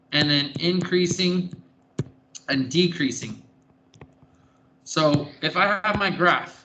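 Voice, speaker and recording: A man's high-pitched voice, bright and sharp, very slow with long, frequent pauses and fairly even intonation, in a room with audible echo. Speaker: math teacher. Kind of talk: classroom lecture. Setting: classroom.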